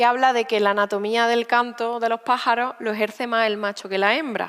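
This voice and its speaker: A woman with a fairly high pitch speaks at a moderate pace in an Andalusian accent. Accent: Andalusian rural. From Spain, Sierra Norte of Seville (Andalusia). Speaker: poet and writer. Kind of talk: onstage conversation interview. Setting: stage at a literature festival.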